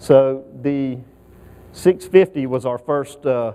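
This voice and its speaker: The speaker has a Southern US accent. Intonation stays fairly even. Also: man. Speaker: aerospace engineering manager. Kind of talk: conference presentation. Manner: halting, many fillers.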